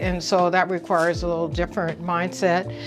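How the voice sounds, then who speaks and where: Music plays in the background behind a woman with a fairly low voice. She talks at a moderate pace. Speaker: bookstore owner. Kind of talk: interview testimony.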